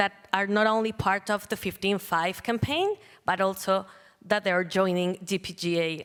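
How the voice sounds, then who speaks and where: A woman speaks in a Spanish accent. Her intonation stays fairly even. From Colombia. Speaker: panel moderator. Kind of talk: panel moderation. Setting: stage with audience.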